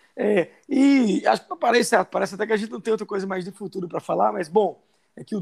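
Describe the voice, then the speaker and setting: A very fast-paced man's voice, dry and close with no echo. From Brazilian Northeast, sertão of Paraíba. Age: 50s. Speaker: podcast co-host. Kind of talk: casual chat.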